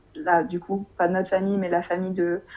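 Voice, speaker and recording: A woman with a medium pitch speaks at a moderate pace in a dark, mellow tone. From France. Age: 20s. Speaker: expatriate interviewee. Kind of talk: interview. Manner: hesitant with many fillers.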